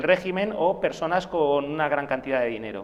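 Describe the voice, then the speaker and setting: A man talks at a fairly quick pace. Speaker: author of a role-playing game book. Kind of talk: TV interview. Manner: hesitant, many fillers.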